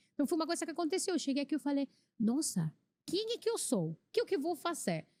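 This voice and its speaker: Very fast and high-pitched, a woman's dark, mellow voice swings very widely in pitch, with a dry, close sound and no echo. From Venezuela. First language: Spanish (speaking Portuguese). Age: 30s. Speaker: immigrant church volunteer. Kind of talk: podcast testimony. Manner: halting.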